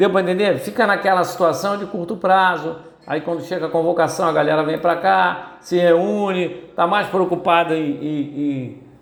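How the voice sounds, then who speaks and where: A man with a high pitch talks at a fairly slow pace and with ordinary pitch variation, amid audible room echo and noticeable background noise. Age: 70s. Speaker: football commentator. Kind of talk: opinion commentary monologue. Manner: hesitant, many repetitions and fillers.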